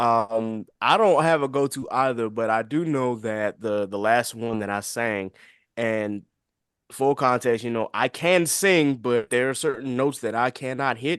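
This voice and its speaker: An ordinary speaking voice comes from a man at a medium pitch, with ordinary pitch variation. He speaks at a fairly slow pace against a quiet background. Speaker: podcast host, guest on show. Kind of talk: casual chat.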